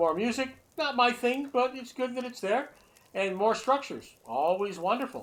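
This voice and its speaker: A man speaks with lively intonation. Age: 60s. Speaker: gaming streamer. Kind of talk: game review. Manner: halting, many fillers.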